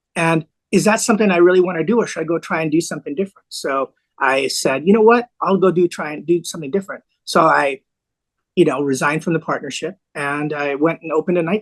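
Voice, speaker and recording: Very fast speech comes from a man with a high pitch. His pitch varies in an ordinary way. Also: dry, close sound with no echo. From US (New York, LA, Bay Area). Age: 60s. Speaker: lawyer and former nightclub owner. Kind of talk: podcast interview.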